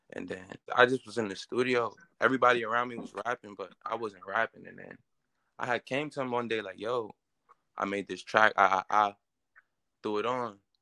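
A man at medium pitch talks fairly quickly with long, frequent pauses, fairly even intonation and big swings in loudness. His tone is bright and sharp, the sound dry and close with no echo. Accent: New York. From Queens, New York. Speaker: rapper. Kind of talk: interview.

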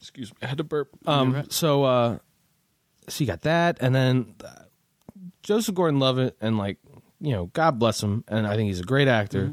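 A man with an American accent and a medium pitch, with lively intonation and long, frequent pauses, in a dry, close sound with no echo. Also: moderate pace. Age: 20s. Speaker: guest, friend of host. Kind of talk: casual chat. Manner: animated, profane.

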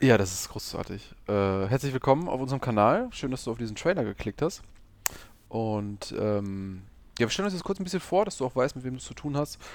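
This man's voice sits at a medium pitch with very wide pitch swings. He talks at a fairly quick pace. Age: 30s. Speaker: podcast host, hobby investor. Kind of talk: casual chat.

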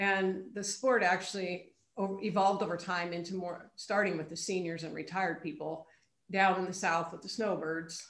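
This is an ordinary speaking voice with fairly even intonation. Its loudness swings widely. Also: woman, medium pitch for a woman, moderate pace. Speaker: pickleball club president, retired PE teacher. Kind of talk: interview.

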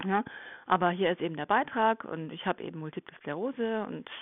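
An ordinary speaking voice from a woman, medium in pitch, with lively intonation. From Germany. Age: 40s. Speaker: nurse. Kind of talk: interview. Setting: podcast interview.

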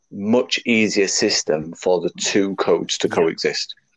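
Speaking at a fairly slow pace with a Yorkshire accent, a man uses a fairly low pitch. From Leeds, northern England. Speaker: rugby league administrator and podcast co-host. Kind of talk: casual chat.

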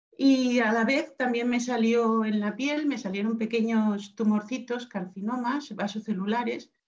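A woman's plain, everyday voice, fairly high in pitch, at a fairly slow pace with hardly any pauses. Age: 50s. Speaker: cancer survivor. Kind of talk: interview.

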